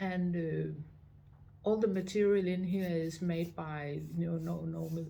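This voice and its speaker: A woman with a Danish accent, fairly low in pitch, dark and mellow in tone, at a fairly slow pace with ordinary pitch variation, amid audible room echo. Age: 60s. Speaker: visitor center director. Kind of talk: interview. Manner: halting, many fillers.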